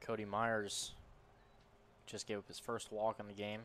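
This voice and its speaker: Medium pitch in a man's voice. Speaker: color commentator. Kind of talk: baseball color commentary and analysis. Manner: conversational, analytical.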